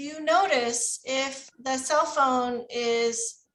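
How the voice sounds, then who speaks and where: With an American accent, a woman speaks in a high, bright, sharp voice with ordinary pitch variation. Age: 50s. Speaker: teacher trainer, former volunteer teacher. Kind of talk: Q&A with teachers.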